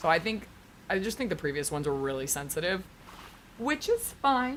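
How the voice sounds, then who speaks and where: A woman speaks loudly at a medium pitch, in an animated tone and at a fairly quick pace. Her pitch swings very widely. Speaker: streamer. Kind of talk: casual chat. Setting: home stream. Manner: loud, projecting.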